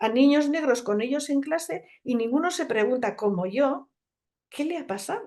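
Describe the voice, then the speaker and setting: A woman's dark, mellow voice with very wide pitch swings at a moderate pace. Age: 60s. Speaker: naturopath. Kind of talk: conference talk.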